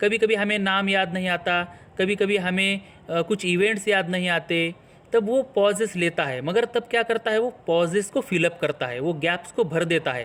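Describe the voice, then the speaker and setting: The recording is very clean, with a silent background. In it, a man talks at a high pitch. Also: ordinary pitch variation. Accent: Marathi. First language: Marathi (speaking Hindi). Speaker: English teacher. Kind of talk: tutorial.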